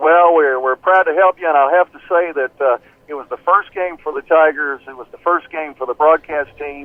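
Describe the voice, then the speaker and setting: With a Southern US accent, a man speaks at a moderate pace in a fairly high pitch, showing ordinary pitch variation and big swings in loudness. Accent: US South (Tennessee). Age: 60s. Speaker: play-by-play radio broadcaster. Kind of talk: phone interview. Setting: phone call.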